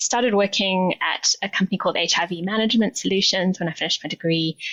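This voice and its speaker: A woman with a South African accent speaks at a medium pitch with fairly even intonation. She barely pauses at all. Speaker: nonprofit CEO, sustainability leader. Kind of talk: interview.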